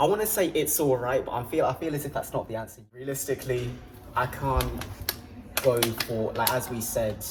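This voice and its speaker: Over noticeable background noise, a man with an English accent speaks at a medium pitch. He keeps a moderate pace with ordinary pitch variation. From England, Peterborough. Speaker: sprinter. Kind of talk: casual chat.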